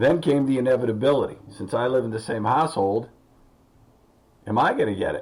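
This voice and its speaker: Somewhat breathy speech comes at a fairly quick pace with ordinary pitch variation, broken by long, frequent pauses. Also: man, medium pitch for a man. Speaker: health talk radio host. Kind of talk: casual talk show monologue.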